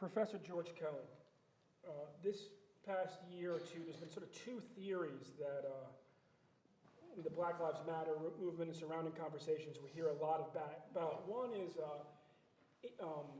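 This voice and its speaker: Amid audible room echo, a man with a high pitch speaks at a moderate pace with ordinary pitch variation and long, frequent pauses. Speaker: criminologist and panel moderator. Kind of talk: panel moderation. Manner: halting, stuttering.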